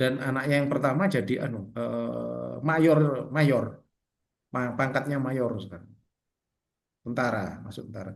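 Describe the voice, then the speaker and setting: The speaker goes at a fairly slow pace with vocal fry. Loudness swings widely while pitch varies in an ordinary way. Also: man, medium pitch for a man. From Indonesia. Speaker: Orthodox priest teaching catechism. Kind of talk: catechism class over video call. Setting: video call. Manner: casual, conversational.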